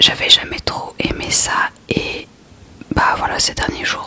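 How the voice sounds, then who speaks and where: A woman whispering very slowly in a relaxed tone, over noticeable background noise. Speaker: ASMR creator. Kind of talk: whispered reading of a book, ASMR. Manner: whispered, soft, relaxed, casual.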